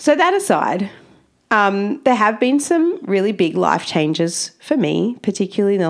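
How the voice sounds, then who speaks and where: With an Australian accent, a woman speaks at a fairly slow pace and medium pitch, her tone animated and her pitch swinging very widely. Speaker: camel educator and podcast host. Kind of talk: casual monologue. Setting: home office on farm.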